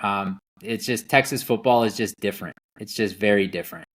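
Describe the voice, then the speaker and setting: With an American accent, a man speaks very fast at a fairly low pitch with fairly even intonation, the recording very clean against a silent background. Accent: slight Wisconsin accent, mostly masked. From Wisconsin. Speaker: rancher. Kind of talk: casual interview chat.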